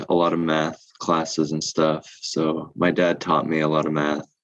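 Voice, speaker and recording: The accent is General American. The pace is moderate. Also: man. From New Jersey and Seattle, US. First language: Korean. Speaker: comedian. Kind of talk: podcast interview. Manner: hesitant, many fillers.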